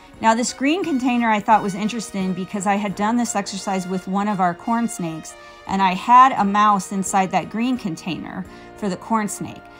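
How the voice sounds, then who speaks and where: A woman at a moderate pace with ordinary pitch variation, music playing in the background. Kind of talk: commentary.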